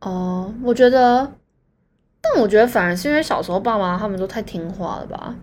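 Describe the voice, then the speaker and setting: At a moderate pace, a woman speaks in a medium pitch with a normal speaking voice. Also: ordinary pitch variation, big swings in loudness. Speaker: podcast co-host. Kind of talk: casual chat.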